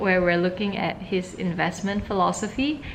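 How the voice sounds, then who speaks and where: A woman's voice carries audible room echo. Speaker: vlogger. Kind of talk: casual vlog talk to camera.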